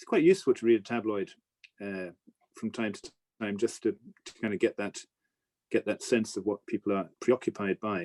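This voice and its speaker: A man with an Irish accent at a fairly quick pace, long and frequent pauses, big swings in loudness, and a dry, close sound with no echo. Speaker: newspaper editor and business commentator. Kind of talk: Q&A talk. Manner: halting, many repetitions.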